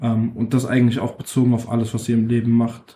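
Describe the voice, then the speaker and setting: A man's medium-pitched voice has a dark, mellow tone and sounds somewhat breathy. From Frankfurt, Germany (Nordweststadt). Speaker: rapper. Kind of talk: interview.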